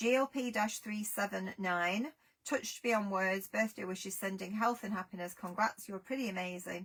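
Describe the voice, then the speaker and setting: Here a woman speaks at medium pitch and a moderate pace. Her pitch variation is ordinary. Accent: English. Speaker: craft product seller. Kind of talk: live sales stream.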